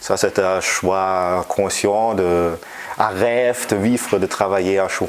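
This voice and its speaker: A man's very deep, low voice in a German accent, with ordinary pitch variation, a very slow pace, and noticeable background noise. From Germany. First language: German (speaking French). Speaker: physics professor. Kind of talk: interview. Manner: halting, many hesitations.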